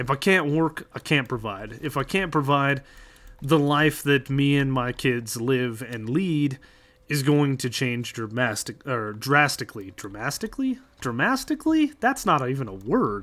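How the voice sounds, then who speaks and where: An American-accented man at a moderate pace, in a normal speaking voice with fairly high pitch. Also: ordinary pitch variation. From United States. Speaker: streamer. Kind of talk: casual chat. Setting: livestream.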